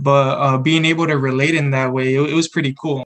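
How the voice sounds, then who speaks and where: A fairly high-pitched man with a Spanish accent, fairly quick in pace and fairly even in intonation. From San Antonio, Texas. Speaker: college student podcast co-host. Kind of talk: casual chat.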